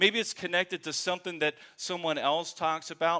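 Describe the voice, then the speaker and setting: At a moderate pace, a man speaks with a bright, sharp tone and high pitch, the sound dry and close with no echo. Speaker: pastor. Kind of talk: sermon. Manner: halting, many fillers.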